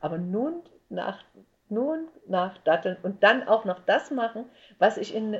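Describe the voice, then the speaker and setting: Over a quiet background, a woman speaks at a fairly slow pace, somewhat breathy, with very wide pitch swings. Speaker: entertainer and actress. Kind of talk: casual interview chat.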